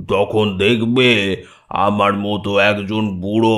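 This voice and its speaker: A man's put-on character voice, fairly low in pitch, with monotone, flat intonation. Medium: read story. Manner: sweet, coaxing.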